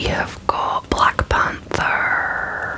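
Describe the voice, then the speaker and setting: A soft-spoken whisper comes through over loud background noise. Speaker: toy unboxing host. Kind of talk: casual unboxing commentary. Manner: soft close ASMR whisper. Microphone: phone near.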